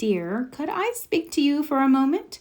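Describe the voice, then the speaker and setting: Soft-spoken, high-pitched woman in a put-on character voice with very wide pitch swings. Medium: read story. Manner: soft, low.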